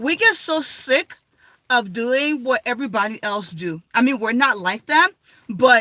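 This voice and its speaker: Extremely high in pitch, this man's voice is bright and sharp. He raises and projects it, and the sound is dry and close with no echo. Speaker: vlogger. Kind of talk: casual live stream chat. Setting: live stream at home.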